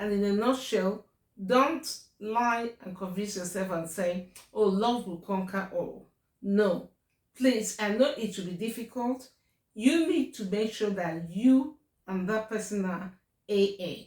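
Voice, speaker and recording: Someone with a Nigerian accent talks at a fairly slow pace with ordinary pitch variation. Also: woman, medium pitch for a woman. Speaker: YouTuber. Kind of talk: casual advice talk to camera. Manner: hesitant, many fillers.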